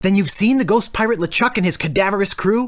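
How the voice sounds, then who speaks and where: In a put-on character voice at a middle pitch, the speaker races along at a very fast pace. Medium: video game. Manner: eager, glib.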